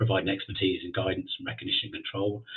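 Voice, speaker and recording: A man with an English accent at a very fast pace. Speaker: occupational hygienist. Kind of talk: webinar presentation. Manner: halting, many fillers.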